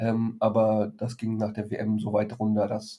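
A man speaks at a medium pitch. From Frankfurt, Germany. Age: 30s. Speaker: financial advisor and blogger. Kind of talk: casual interview. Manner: hesitant, many fillers.

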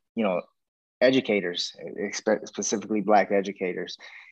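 A man's fairly low voice at a fairly quick pace against a quiet background. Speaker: podcast host, educator. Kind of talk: casual discussion podcast. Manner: soft-spoken, halting with fillers.

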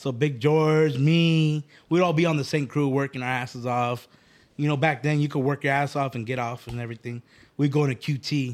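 An unremarkable speaking voice moves at a moderate pace with fairly even intonation. The recording is very clean, with a silent background. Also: man, fairly high pitch for a man. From Phoenix, Arizona. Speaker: clothing brand owner. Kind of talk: casual chat.

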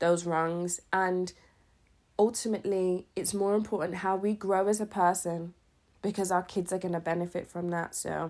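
A woman with a British accent speaks in a fairly low pitch. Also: very clean recording, silent background. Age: 30s. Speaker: podcast host. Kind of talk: casual monologue. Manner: hesitant, many fillers.

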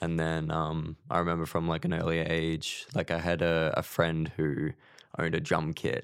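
With an Australian accent, a man with a very deep, low pitch speaks at a moderate pace in monotone, flat intonation and very even loudness on a very clean recording with a silent background. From Queensland, Australia (small country town). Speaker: mixing and mastering engineer. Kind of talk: casual interview chat.

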